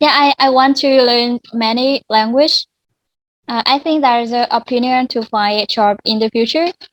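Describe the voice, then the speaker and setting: Recorded with a dry, close sound and no echo, a woman speaks in a high pitch. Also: ordinary pitch variation, moderate pace. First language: Vietnamese. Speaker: student. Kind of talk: language lesson conversation. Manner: halting.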